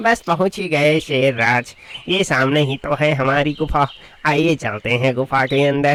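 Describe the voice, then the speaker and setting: A cartoonish character voice, low-to-middle in pitch, at a moderate pace. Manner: chatty, flattering.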